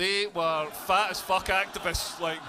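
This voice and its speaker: Against noticeable background noise, a man with a Scottish accent speaks in a raised, projected voice with an animated tone. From Scotland, Dumfries. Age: 40s. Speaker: stand-up comedian. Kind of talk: stand-up. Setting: stage with audience.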